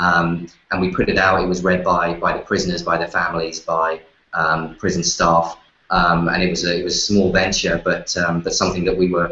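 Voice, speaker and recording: Speaking very fast, a man with an English accent has a very deep, low pitch. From London, England. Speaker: magazine editor. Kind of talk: interview. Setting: live show. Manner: halting, many fillers and repeats.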